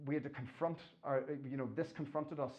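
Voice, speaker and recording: A man speaks with an Irish accent at a fairly quick pace. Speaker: engineering professor. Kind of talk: lecture. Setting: stage with audience. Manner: halting.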